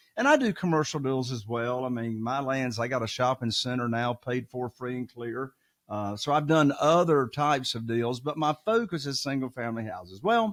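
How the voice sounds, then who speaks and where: Speaking with hardly any pauses, a man talks in a Southern US accent. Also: medium pitch for a man, ordinary pitch variation, moderate pace. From Eastern North Carolina. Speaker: real estate investor. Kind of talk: podcast interview.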